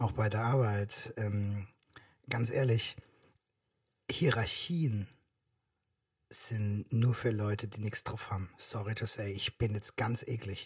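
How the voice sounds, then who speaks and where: A man speaks very slowly in a somewhat breathy voice. His speech has long, frequent pauses. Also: medium pitch for a man. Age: 40s. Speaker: podcast co-host, father. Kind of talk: casual chat.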